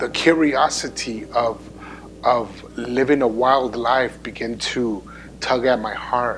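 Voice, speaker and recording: Over noticeable background noise, a man speaks at a very slow pace with a medium pitch and ordinary pitch variation. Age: 40s. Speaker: pastor. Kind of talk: testimony. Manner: halting.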